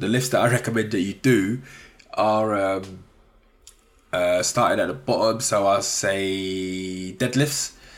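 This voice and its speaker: With a London accent, a man talks at a fairly low pitch and a fairly slow pace, his pitch varying in an ordinary way. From South East London. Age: 30s. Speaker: podcast host, freelance data analyst. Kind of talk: casual solo podcast monologue. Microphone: sounds a bit muffled.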